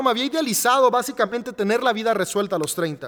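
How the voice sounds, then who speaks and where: The man's voice has a bright, sharp tone and ordinary pitch variation. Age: 30s. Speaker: podcast host. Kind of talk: solo monologue podcast. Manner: halting with repeated words.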